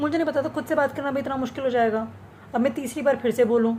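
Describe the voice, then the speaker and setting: A woman speaks in a high-pitched voice. Noticeable background noise is present. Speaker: vlogger. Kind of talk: casual monologue vlog. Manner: animated. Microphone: speaking without the usual mic.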